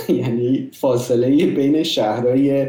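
Recorded with audible room echo and noticeable background noise, a man talks at a fairly high pitch. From Iran. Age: 30s. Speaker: software development manager. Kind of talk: casual interview.

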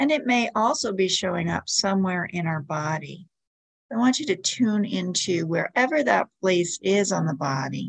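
Her tone is gentle and calm, with a medium pitch and very wide pitch swings. The woman sounds somewhat breathy. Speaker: meditation guide. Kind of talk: guided meditation. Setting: podcast recording. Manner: slow, calm, soothing; gentle, instructive, with pauses.

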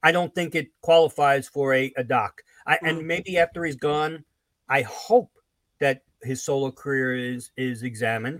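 A man with an unremarkable speaking voice and a fairly high pitch talks at a moderate pace with ordinary pitch variation, in a dry, close sound with no echo. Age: 60s. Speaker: music fan commentator. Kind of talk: casual chat.

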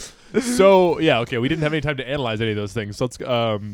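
Reading in an unforced voice.

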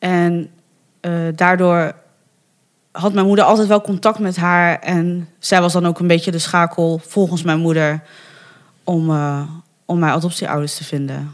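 A woman speaks at a fairly slow pace with long, frequent pauses. Her pitch sits fairly low and her intonation stays fairly even. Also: very clean recording, silent background. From Netherlands, Bergen op Zoom (North Brabant). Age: 30s. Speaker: adoptee sharing her story. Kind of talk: interview conversation. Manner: hesitant, many fillers.

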